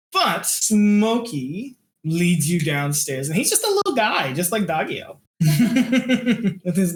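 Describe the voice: This is plain reading aloud with lively intonation over a quiet background.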